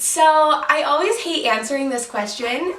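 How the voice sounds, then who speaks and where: Over noticeable background noise and audible room echo, a woman speaks in a raised, projected voice with an animated tone. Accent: American. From Utah. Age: 20s. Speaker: hairstylist and YouTuber. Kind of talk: casual Q&A vlog. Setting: at home, sitting on bed. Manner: chatty, animated.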